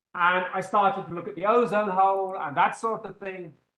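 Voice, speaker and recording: A raised, projected voice with an English accent, bright and sharp in tone, at a fairly quick pace. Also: man. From England. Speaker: physics professor. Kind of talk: lecture. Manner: loud; animated.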